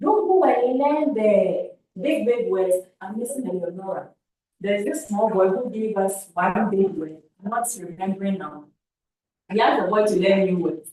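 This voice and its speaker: A woman with a Ghanaian accent, medium pitch, lively intonation, and a moderate pace. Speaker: camp facilitator giving feedback to youth. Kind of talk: feedback talk to youth camp. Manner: repetitive, halting.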